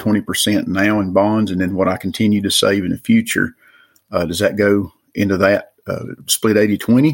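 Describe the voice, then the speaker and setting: With an Appalachian accent, a man speaks in a fairly low pitch and fairly even intonation. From Western North Carolina mountains. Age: 50s. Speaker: caller. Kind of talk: recorded voicemail question.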